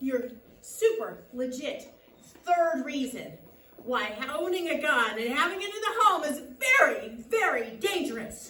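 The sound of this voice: A woman speaks in a put-on character voice, high-pitched with big pitch swings and a bright, sharp tone. She goes at a fairly slow pace with few pauses, and strong room echo surrounds her.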